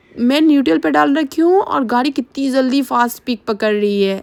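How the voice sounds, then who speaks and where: The speech moves at a fairly slow pace with very wide pitch swings, and the sound is dry and close with no echo. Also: woman. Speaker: vlogger. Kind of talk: vlog narration.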